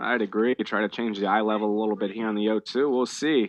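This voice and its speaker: A man talks at a fairly quick pace in a normal speaking voice of medium pitch. The sound is dry and close, with no echo. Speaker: radio play-by-play baseball announcer. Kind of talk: live radio baseball play-by-play call.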